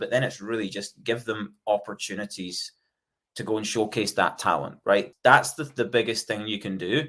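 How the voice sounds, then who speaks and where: A man talks at a medium pitch with a Scottish accent and fairly even intonation. The recording is very clean, with a silent background. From Scotland. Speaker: software company executive. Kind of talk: podcast interview. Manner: fast-paced; hesitant fillers.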